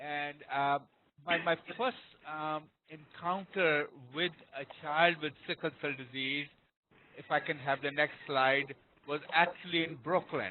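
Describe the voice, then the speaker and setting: Speaking fairly slowly with a non-native accent, a man uses fairly high pitch and fairly even intonation, leaving long, frequent pauses. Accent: noticeable foreign. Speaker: pediatrics professor. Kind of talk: lecture. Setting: webinar.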